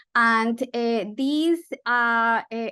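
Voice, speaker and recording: Loud and bright, sharp in tone, a woman with a Spanish accent speaks at a fairly high pitch with ordinary pitch variation against a quiet background. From Colombia. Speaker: physician researcher. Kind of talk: medical webinar lecture.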